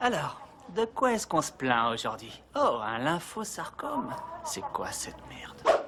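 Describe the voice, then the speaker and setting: A man talks very slowly while noticeable background noise carries on around him. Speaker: voice actor. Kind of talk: dubbing demo reel. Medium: dub.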